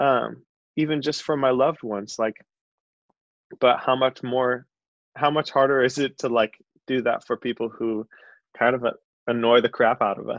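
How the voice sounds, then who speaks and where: With an American accent and fairly even intonation, a man at a medium pitch speaks at a moderate pace with long, frequent pauses, in a dry, close sound with no echo against a quiet background. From Chicago. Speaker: worship leader. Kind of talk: casual chat.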